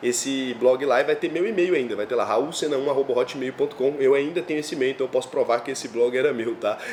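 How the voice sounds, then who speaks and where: A man speaks in an animated tone with lively intonation. Noticeable background noise runs behind him. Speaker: finance youtuber. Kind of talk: personal storytelling monologue. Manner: fast; casual, animated.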